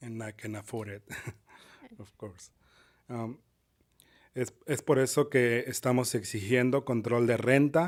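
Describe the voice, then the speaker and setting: With a strong Spanish accent, a man at a medium pitch speaks at a moderate pace with fairly even intonation, big swings in loudness and long, frequent pauses. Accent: heavy Spanish accent in English. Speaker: public commenter, tenant. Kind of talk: public comment testimony. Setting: public meeting, council chamber. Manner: halting.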